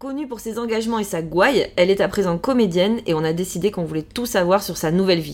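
A woman speaks at a very fast pace with hardly any pauses. Her pitch is medium with ordinary variation. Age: 40s. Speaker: podcast host. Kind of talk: scripted introduction.

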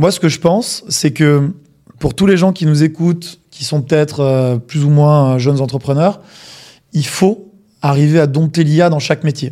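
Fairly slow and fairly high-pitched, a man speaks in a dark, mellow tone with ordinary pitch variation. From provincial France. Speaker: podcast co-host. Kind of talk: interview.

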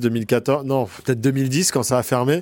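A medium-pitched male voice with fairly even intonation. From Paris region, France (Boulogne). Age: 40s. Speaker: photojournalist. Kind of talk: interview. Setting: office. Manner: hesitant, frequent fillers.

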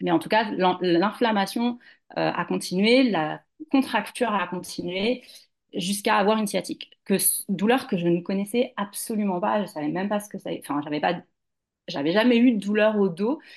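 A woman speaks in an unremarkable speaking voice at medium pitch, keeping a moderate pace and ordinary pitch variation. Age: 40s. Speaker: yoga teacher and doula. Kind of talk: interview testimony.

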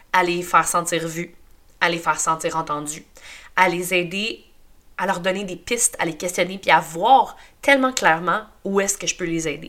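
Speaking in a Quebec accent at a moderate pace, a woman with a fairly low voice uses an animated tone and a bright, sharp sound on a very clean recording with a silent background. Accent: Québécois French. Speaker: podcast host. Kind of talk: personal testimony monologue.

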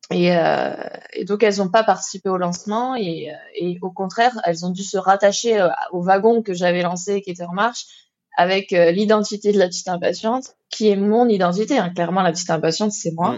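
A woman talks at a fairly quick pace in an ordinary speaking voice. Her pitch sits in the medium range and her intonation stays fairly even. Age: 30s. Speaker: entrepreneur, former wedding planner. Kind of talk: interview.

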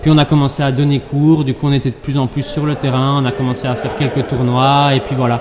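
The speech moves at a fairly quick pace in a monotone, flat intonation with hardly any pauses, against noticeable background noise. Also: man, fairly high pitch for a man. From Belgium, Brussels area. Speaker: padel player and sports director. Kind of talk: interview. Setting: padel club with training in background.

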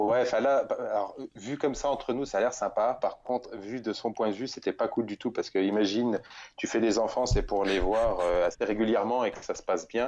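A man's unremarkable speaking voice at medium pitch, moderately paced, with normal intonation. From central France, near Bourges. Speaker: adventurer. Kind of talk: interview.

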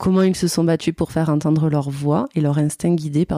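A woman with a fairly low pitch and a dark, mellow tone talks at a fairly quick pace with fairly even intonation in a dry, close sound with no echo. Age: 30s. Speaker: podcast host. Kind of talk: casual interview; scripted narration.

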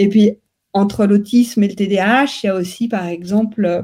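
A woman's somewhat breathy voice with a dark, mellow tone and fairly even intonation. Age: young. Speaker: neuroscience researcher. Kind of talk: interview. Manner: halting.

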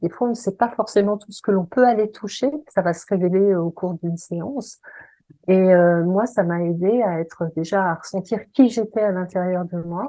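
With big swings in loudness, a woman speaks at a moderate pace in a plain, everyday voice of medium pitch and ordinary pitch variation. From Paris region, France. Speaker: voice coach and singer. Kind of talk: interview.

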